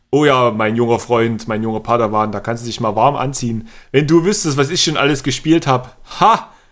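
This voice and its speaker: A man with an unremarkable speaking voice, medium pitch, fairly quick pace and ordinary pitch variation, on a very clean recording with a silent background. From northern Germany, Kiel. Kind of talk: casual chat.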